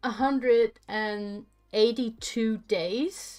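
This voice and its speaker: Music plays in the background as a woman speaks at a very slow pace. Her voice is fairly high, with ordinary pitch variation. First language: Dutch. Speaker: streamer coding an LED matrix. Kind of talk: casual chat. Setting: live stream.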